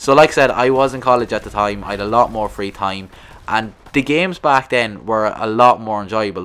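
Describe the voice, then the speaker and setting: With a strong Irish accent, a man talks at a fairly quick pace. His pitch is fairly low, with ordinary variation. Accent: thick rural Irish. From rural Ireland. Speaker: gaming YouTuber. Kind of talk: casual vlog monologue. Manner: halting, repetitive.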